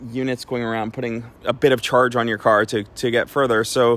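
A man at a fairly quick pace, in a dry sound with no echo. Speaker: car club host. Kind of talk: casual explanatory vlog chat answering questions. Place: street.

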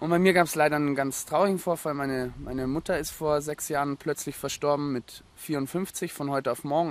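At a fairly quick pace, a man with a fairly high voice talks with fairly even intonation. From Germany, Munich. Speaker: former actor turned homesteader. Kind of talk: casual interview. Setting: on location at a rural mill in Austria.

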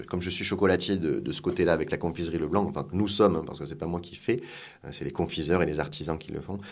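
Talking at a very fast pace, a man uses a very deep, low pitch and fairly even intonation, with big swings in loudness. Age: 40s. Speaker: food industry executive. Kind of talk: interview.

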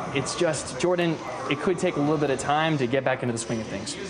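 A male speaker shows ordinary pitch variation, with noticeable background noise behind him. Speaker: student journalist. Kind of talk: TV news reporting and anchoring. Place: studio. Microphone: lapel.

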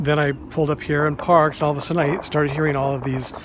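Recorded dry with no echo, a man's voice carries noticeable background noise behind it. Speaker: cemetery tour vlogger. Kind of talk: casual vlog chat. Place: open country. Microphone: phone near.

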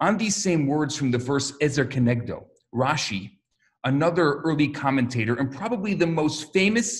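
This man's fairly high, somewhat breathy voice moves at a moderate pace with very wide pitch swings. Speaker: rabbi. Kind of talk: religious talk to camera.

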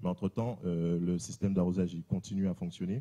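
At a fairly quick pace over a quiet background, the voice has a dark, mellow tone and ordinary pitch variation. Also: man. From Guadeloupe. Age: 30s. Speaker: tech company founder; presenter. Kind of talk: conference presentation. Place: hall. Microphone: handheld.

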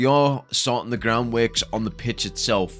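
A man speaks at a medium pace while music plays behind him. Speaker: stadium update narrator. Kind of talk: commentary.

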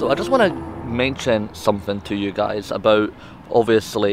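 At a moderate pace, a man speaks over light background noise in a dry recording with no echo. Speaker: travel vlogger. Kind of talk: casual vlog chat. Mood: light, joking. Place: garden. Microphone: phone near.

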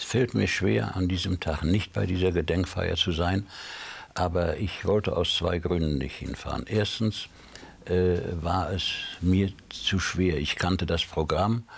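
A man speaks with a very deep, low pitch. His pitch varies an ordinary amount. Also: fairly slow pace. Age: 80s+. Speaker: Holocaust survivor; interview guest. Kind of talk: TV interview. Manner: halting. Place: studio. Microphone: lapel.

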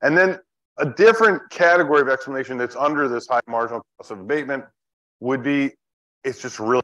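A man is speaking. Little sound surrounds him, as the background is quiet. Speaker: economics lecturer. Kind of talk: lecture. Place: hall.

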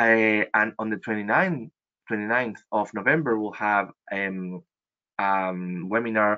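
A man with a Spanish accent speaks at a fairly low pitch with ordinary pitch variation. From Chile, Santiago. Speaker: travel industry representative. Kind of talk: webinar presentation. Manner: halting, many fillers.

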